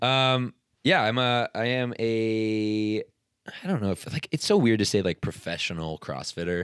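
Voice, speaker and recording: The sound is dry and close with no echo, on a very clean recording with a silent background. A man with a plain, everyday voice speaks at a medium pitch and a fairly slow pace, with lively intonation. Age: 20s. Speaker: podcast co-host, CrossFit athlete. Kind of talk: casual chat.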